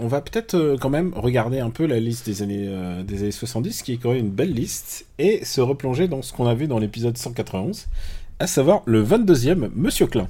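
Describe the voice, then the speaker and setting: A dark, mellow tone, somewhat breathy, with lively intonation at a moderate pace. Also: man, medium pitch for a man, very clean recording, silent background. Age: 40s. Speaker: film podcast host. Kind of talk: casual chat.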